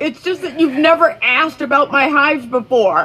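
A female-sounding voice puts on a high-pitched character at a moderate pace. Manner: hurt, accusing.

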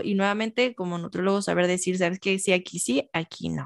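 Against a quiet background, a woman speaks at medium pitch with fairly even intonation. The sound is dry and close, with no echo. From Mexico, Michoacán. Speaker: nutritionist. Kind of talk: interview.

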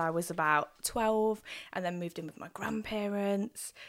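A woman speaks in an East Midlands accent. Her pitch is medium and her pace fairly slow. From Nottingham, England. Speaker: poet. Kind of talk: casual chat.

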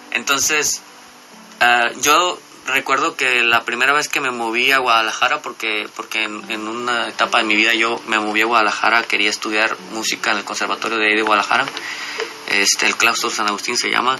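Noticeable background noise fills the recording. A man talks with fairly even intonation. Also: medium pitch for a man, fairly quick pace. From Mexico, Jalisco coast. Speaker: musician. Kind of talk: radio interview. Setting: radio studio. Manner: halting.

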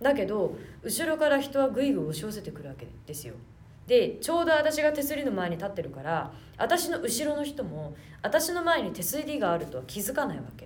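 In a room with audible echo, a woman talks at a fairly quick pace in a high voice, with very wide pitch swings and big swings in loudness. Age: 20s. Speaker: podcast host and theater troupe leader. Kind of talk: casual chat. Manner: animated.

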